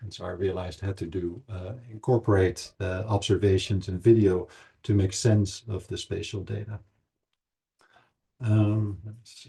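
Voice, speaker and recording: Against a quiet background, a man with a Dutch accent speaks at a moderate pace in a fairly low, dark, mellow, somewhat breathy voice, his intonation monotone and flat but his loudness swinging widely. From Netherlands. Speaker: anthropology professor. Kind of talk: lecture. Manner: halting, many fillers.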